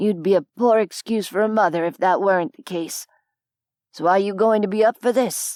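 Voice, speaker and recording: Putting on a raspy character voice at a medium pitch, a woman speaks at a moderate pace in a very clean recording with a silent background and a dry, close sound with no echo. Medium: read story. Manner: dry, blunt.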